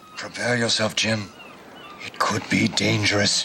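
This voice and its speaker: Over clear background noise, a man does a raspy, put-on character voice at a medium pitch and a moderate pace. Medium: short film. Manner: calm, measured.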